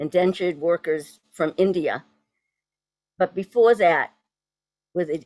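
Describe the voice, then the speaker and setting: A woman with a Boston accent and a fairly low pitch, at a fairly slow pace, in a dry, close sound with no echo. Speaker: poet and translator. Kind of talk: poetry event talk. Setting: video call.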